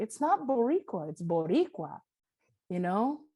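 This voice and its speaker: A woman's medium-pitched voice at a fairly slow pace, with a Spanish accent. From New York City, Washington Heights, Dominican family. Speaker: audio describer. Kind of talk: panel discussion.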